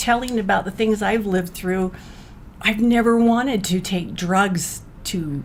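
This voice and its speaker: At a fairly slow pace, a woman with an American accent uses an ordinary speaking voice with ordinary pitch variation. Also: medium pitch for a woman. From Utah. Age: 60s. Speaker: mother of addicted sons, awareness advocate. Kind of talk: casual chat.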